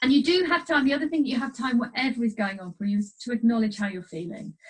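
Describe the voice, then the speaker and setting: Her delivery is very fast. The speaker is a woman with a high pitch. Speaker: clinical psychologist. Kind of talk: webinar talk.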